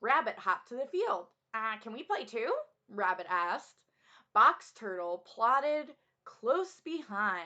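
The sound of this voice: Quiet background, with an unforced reading voice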